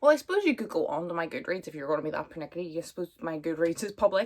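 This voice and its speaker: Talking at a very fast pace, a woman with a Northern Irish accent uses a fairly low pitch and vocal fry. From Northern Ireland, Belfast. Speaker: booktuber. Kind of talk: casual chat. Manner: chatty, filler-heavy.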